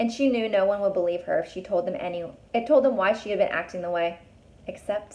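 Lively intonation in an unforced reading voice

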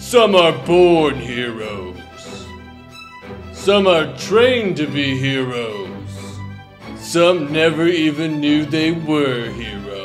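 A man performs a cartoonish character voice at a fairly high pitch and a very slow pace. Clear music plays in the background. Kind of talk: epic fantasy storybook narration.

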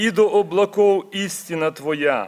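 A man's high-pitched voice at a very slow pace. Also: quiet background. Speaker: church minister. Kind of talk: prayer. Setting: church. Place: church. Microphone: podium.

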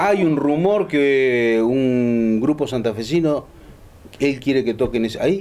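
The intonation is lively. The pace is very slow. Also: man. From Argentina. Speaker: radio show host. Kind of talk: casual panel chat. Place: cafe.

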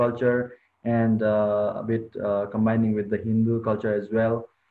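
Behind the man talking, the background stays quiet. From Nepal, around Lumbini; Nepal. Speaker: student chapter leader; presenter. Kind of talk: presentation. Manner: halting. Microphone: video call.

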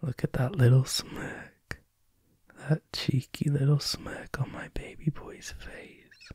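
A man whispers at a very slow pace, his loudness rising and falling sharply. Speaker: ASMR roleplay performer; boyfriend roleplay narrator. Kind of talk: ASMR comfort roleplay. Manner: soft-spoken, tender. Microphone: studio mic.

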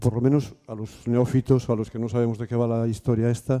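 In a quiet background, a man speaks at a medium pitch and moderate pace, his dark, mellow tone carrying fairly even intonation. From Spain, Galicia (Ferrol); Galicia, Spain. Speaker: workshop participant, education worker; audience member. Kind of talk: audience question. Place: classroom.

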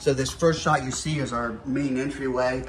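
The pace of this man's speech is moderate. Light background noise and audible room echo can be heard. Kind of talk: casual store tour. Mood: relaxed, proud, joking. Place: shop. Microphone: camera far.

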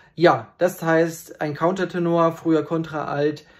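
The speaker is male. Little can be heard behind him. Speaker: countertenor singer. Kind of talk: casual explainer to viewers. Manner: hesitant, many fillers. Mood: friendly, relaxed. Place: home room. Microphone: phone near.

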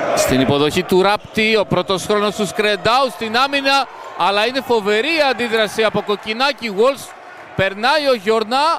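With a high pitch and lively intonation, a man speaks at a fairly slow pace with very even loudness. Background noise is noticeable. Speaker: volleyball commentator. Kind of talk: live sports commentary. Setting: match broadcast over game footage. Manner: clipped, breathless, matter-of-fact.

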